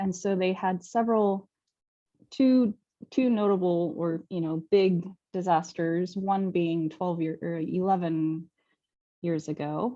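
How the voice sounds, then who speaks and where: At a very slow pace with long, frequent pauses, a woman speaks at a fairly low pitch with ordinary pitch variation. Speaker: sake event host. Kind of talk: live online tasting presentation. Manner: casual, with many fillers.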